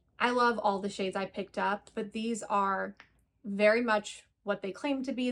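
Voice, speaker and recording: A normal speaking voice at a fairly slow pace. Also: woman. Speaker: beauty youtuber. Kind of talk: product review.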